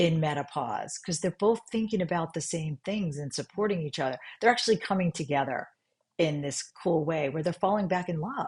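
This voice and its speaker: A woman speaks with an American accent. Her voice is fairly low-pitched and somewhat breathy. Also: fairly quick pace. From New York. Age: 60s. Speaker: functional medicine doctor. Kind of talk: podcast interview. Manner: animated.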